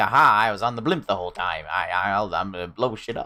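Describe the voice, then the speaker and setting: In a raspy, put-on character voice, a man talks very fast at a fairly low pitch. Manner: scheming, gleeful.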